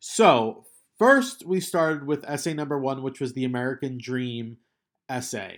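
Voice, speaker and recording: Heard on a very clean recording with a silent background, a man with a fairly high pitch speaks with lively intonation. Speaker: college English instructor. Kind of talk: recorded lecture to students. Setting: recording alone at home. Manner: halting, with fillers.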